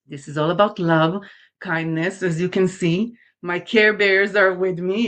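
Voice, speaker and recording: A woman speaks in an Israeli accent at a fairly slow pace over a quiet background. Her medium pitch shows ordinary variation. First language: Hebrew. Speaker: talk show host, makeup artist and life coach. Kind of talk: live show monologue to viewers. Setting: live streamed show.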